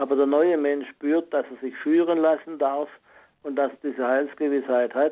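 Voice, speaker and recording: With an ordinary speaking voice, a man talks at a fairly slow pace, his pitch fairly high and his intonation fairly even. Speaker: caller. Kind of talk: testimony on faith. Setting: phone call.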